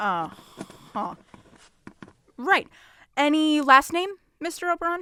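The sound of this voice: A woman puts on a character voice with a high pitch and a bright, sharp tone. She speaks at a slow pace with big pitch swings.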